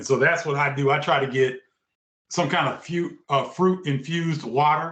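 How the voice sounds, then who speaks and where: A man with an ordinary speaking voice talks at a moderate pace and a fairly high pitch. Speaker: sports broadcaster and former basketball player. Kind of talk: interview.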